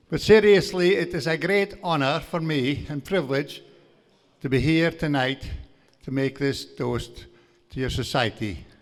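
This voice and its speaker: A man with a strong Aberdeenshire accent, moderate pace and ordinary pitch variation, on a very clean recording with a silent background. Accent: broad Scottish, Aberdeenshire Doric. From northeast Scotland, Aberdeenshire. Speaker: farmer and guest speaker. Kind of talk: after-dinner lecture. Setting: banquet hall with audience.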